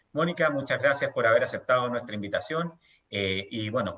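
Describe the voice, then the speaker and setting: A man at a fairly quick pace. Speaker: event host, transparency NGO director. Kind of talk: formal event introduction. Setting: online panel event.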